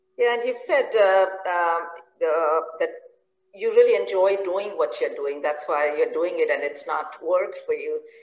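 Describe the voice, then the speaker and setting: A woman talks at a fairly slow pace, and room echo can be heard around her. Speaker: professor and conference moderator. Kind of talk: interview. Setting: video call. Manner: hesitant, many fillers. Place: home room. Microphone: video call.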